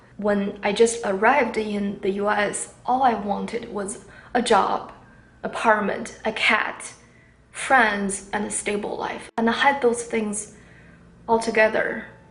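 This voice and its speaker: A woman with a fairly high pitch speaks at a very slow pace in a monotone, flat intonation. There is audible room echo and noticeable background noise. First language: not English. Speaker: vlogger. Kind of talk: personal story. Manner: halting.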